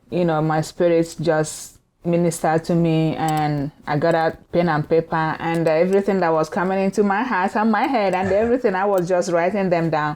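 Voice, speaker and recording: A woman speaks at a moderate pace in a fairly low voice. She barely pauses, and her loudness stays very even. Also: ordinary pitch variation. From Nigeria. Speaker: minister. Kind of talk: casual chat.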